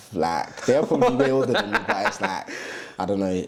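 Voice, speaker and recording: A man with a London accent and a fairly low pitch. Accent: London English, multicultural London. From East London, England. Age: 20s. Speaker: TikTok influencer and medical student. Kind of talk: casual interview. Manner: halting.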